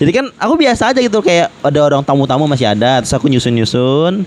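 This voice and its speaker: Very fast and very even in loudness, a man's speech swings very widely in pitch over noticeable background noise. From Jambi, Sumatra. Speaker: podcast host. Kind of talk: casual chat.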